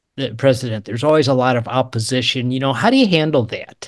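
A medium-pitched man's voice with an American accent. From US Midwest, St. Louis area. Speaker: author and retired entrepreneur. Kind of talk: casual interview. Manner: hesitant, many fillers.

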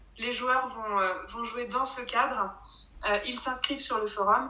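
Over noticeable background noise and audible room echo, a woman talks at a fairly slow pace with fairly even intonation. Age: 30s. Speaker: forum role-play game player and administrator. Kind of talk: casual interview. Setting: remote recording. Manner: halting, many repetitions.

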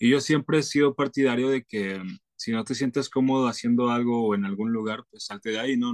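A man with an ordinary speaking voice talks at a fairly quick pace and medium pitch, in a dry, close sound with no echo. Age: 20s. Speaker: singer-songwriter. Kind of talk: interview.

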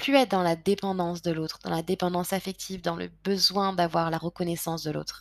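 Speaking at a fairly quick pace with hardly any pauses, a woman uses a fairly low pitch and fairly even intonation. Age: 20s. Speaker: podcast host. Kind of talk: personal confessional monologue. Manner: hesitant, many fillers and repetitions.

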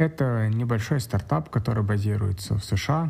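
Somewhat breathy and dark, mellow in tone, a man talks at a moderate pace, his fairly low pitch showing ordinary variation. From Kazakhstan, Astana. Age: 30s. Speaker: software developer. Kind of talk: personal account monologue.

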